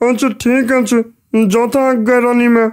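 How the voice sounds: A woman's cartoonish character voice, high in pitch, with monotone, flat intonation.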